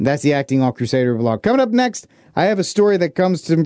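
A man's high-pitched voice with very wide pitch swings, a dry, close sound with no echo and a quiet background. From Texas. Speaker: radio host.

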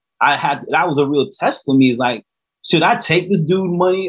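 This is a man with a normal speaking voice and an American accent. He talks at a moderate pace with ordinary pitch variation. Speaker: author and re-entry coach. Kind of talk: interview testimony.

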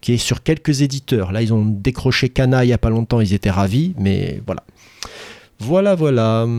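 Recorded very cleanly with a silent background and a dry, close sound with no echo, a man at a medium pitch speaks with a dark, mellow tone and lively intonation. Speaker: teacher and podcast co-host. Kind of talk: casual chat.

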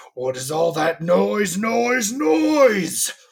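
A man's put-on character voice, high-pitched, with very wide pitch swings

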